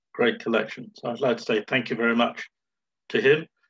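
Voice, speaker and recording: An ordinary speaking voice comes from a man at medium pitch. His intonation is fairly even, and the background is quiet. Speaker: presenter, stamp collector. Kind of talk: presentation. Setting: video call. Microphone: video call.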